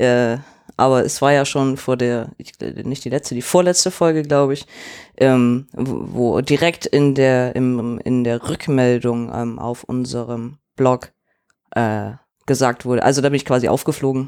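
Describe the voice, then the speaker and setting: A man speaks at a fairly slow pace in a normal speaking voice, with medium pitch and fairly even intonation. The recording is very clean, with a silent background. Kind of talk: casual chat.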